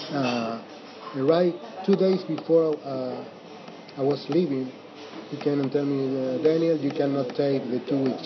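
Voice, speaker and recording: A fairly high-pitched man at a fairly slow pace with fairly even intonation, over noticeable background noise. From Mendoza, Argentina. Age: 50s. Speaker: Airbnb host and storyteller. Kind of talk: casual interview. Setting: cafe, then home. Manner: halting, many fillers.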